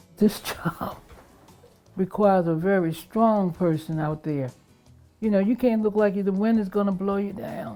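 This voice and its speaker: A fairly slow, American-accented delivery with long, frequent pauses, ordinary pitch variation and music in the background. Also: woman, medium pitch for a woman. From Baltimore, Maryland, USA. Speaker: retired police officer. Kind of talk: interview answer.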